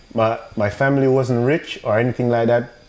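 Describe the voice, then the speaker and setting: Speaking at a moderate pace, a man uses a medium pitch. He has a Jamaican accent. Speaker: business owner, entrepreneur. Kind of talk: podcast interview. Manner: halting.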